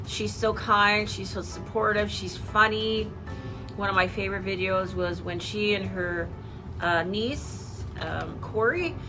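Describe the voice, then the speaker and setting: A woman speaking at a very slow pace, with audible room echo and noticeable background noise. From Canada. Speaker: YouTube haul vlogger. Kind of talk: casual chat.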